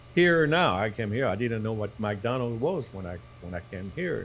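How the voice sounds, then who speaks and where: A man with a French accent, music in the background. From southern France. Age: 60s. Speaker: restaurateur and author. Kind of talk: podcast interview. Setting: live podcast recording at a venue.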